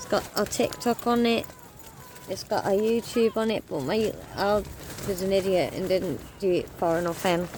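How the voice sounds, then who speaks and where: The pace is moderate, broken by long, frequent pauses. Background noise is noticeable. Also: woman, medium pitch for a woman, ordinary pitch variation. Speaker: travel vlogger. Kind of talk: casual vlog talk to camera. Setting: outdoors, sitting on the street. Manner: loud; hesitant, many fillers. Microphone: camera's built-in mic, no external mics.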